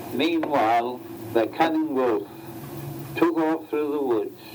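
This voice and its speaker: Noticeable background noise accompanies a man speaking at a fairly slow pace, his pitch fairly high and his pitch variation ordinary. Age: 80s+. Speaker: amateur photographer reading children's stories to his family. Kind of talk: children's story reading. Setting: home recording from 1975, vintage tape.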